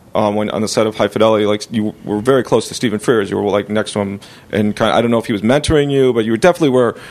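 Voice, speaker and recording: Speaking very fast with lively intonation, a man with an American accent uses a fairly low pitch. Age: 40s. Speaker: podcast host and comedian. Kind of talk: casual interview.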